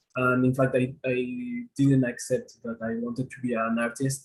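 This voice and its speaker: A man talks at a fairly slow pace with a medium pitch. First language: not English. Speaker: multimedia artist. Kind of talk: panel discussion on video call. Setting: video call. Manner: halting.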